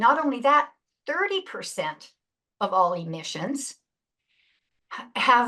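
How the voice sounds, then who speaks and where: A woman talks at a very slow pace with long, frequent pauses, her bright, sharp tone set at a high pitch. Her pitch swings very widely and her loudness rises and falls in big swings. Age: 70s. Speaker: retired pastor and climate activist. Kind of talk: lecture. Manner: halting.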